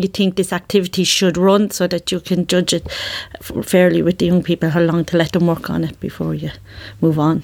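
A woman with an Irish accent at a medium pitch, fairly quick and fairly even in intonation, over noticeable background noise. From Ireland. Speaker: youth work student. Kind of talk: interview.

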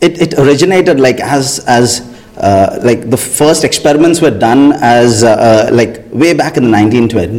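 Against noticeable background noise, a man speaks at a medium pitch and moderate pace, with ordinary pitch variation and very even loudness. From India. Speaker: film director. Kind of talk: interview. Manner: halting.

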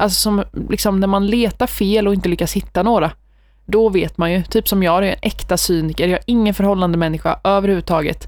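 A woman at medium pitch talks at a very fast pace, with fairly even intonation and very even loudness, in a very clean recording with a silent background. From Sweden, Västervik. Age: 20s. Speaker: university student. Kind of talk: casual interview.

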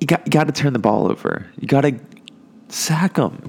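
A man at a moderate pace. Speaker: sports podcast host. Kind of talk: casual sports talk podcast. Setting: podcast recording.

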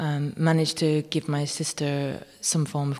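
A woman's very deep, low-pitched voice. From England. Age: 40s. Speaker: musician. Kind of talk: radio interview.

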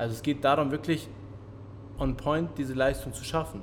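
A man talks in a room with audible echo. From Kosovo, moved to Germany at six. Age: 30s. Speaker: kickboxing champion and gym owner. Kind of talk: casual interview. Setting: boxing gym ring.

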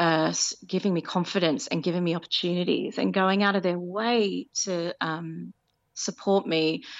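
A woman speaks with an Australian accent. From Australia, Penrith (western Sydney). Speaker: musical theatre performer. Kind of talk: interview.

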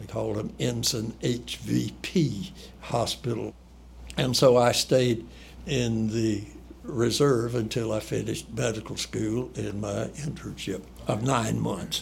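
Speaking very slowly, a man talks with a North Carolina accent. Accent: Southern US (North Carolina). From US South, southeastern North Carolina. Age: 80s+. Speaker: retired urologist. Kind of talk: oral history interview.

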